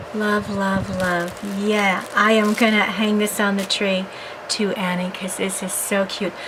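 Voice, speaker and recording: Amid noticeable background noise and audible room echo, a woman speaks at a medium pitch and a fairly slow pace. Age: 60s. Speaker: crafting video blogger. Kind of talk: casual unboxing vlog.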